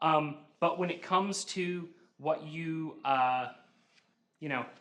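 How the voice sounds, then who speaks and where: This man talks at a very slow pace, his fairly high pitch held in fairly even intonation. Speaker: university instructor. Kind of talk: lecture. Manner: loud.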